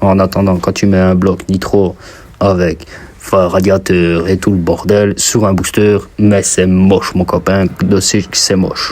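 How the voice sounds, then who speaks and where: With noticeable background noise, a man with a slight Belgian accent talks very slowly in a very deep, low pitch, his intonation monotone and flat and his loudness very even. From Belgium. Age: 20s. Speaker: mechanic and DIY youtuber. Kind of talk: casual vlog talk to camera. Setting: basement workshop. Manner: casual, hesitant with fillers.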